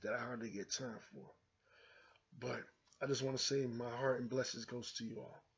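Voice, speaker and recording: With a medium pitch and moderate pace, a man talks in a somewhat breathy, flat monotone, leaving long, frequent pauses. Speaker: YouTube show host. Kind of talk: casual vlog monologue.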